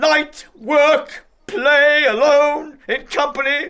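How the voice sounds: Very slowly, a man does a put-on character voice at an extremely high pitch, bright and sharp in tone, with fairly even intonation.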